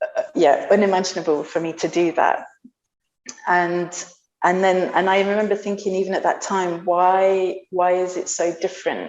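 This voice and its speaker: Soft-spoken and flat in intonation, a woman talks at a moderate pace and a medium pitch. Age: 30s. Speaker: bellydance teacher and performer. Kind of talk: interview conversation. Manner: halting.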